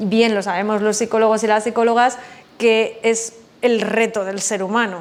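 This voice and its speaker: Over noticeable background noise and audible room echo, a woman talks in a fairly high pitch with monotone, flat intonation. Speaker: psychologist and business mentor. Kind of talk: webinar lecture. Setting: online webinar. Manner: fast.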